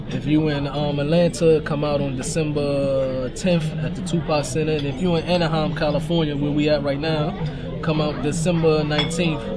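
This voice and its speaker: With clear music behind him, a man keeps to a moderate pace. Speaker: guest. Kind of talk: interview answer. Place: cafe. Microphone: camera far.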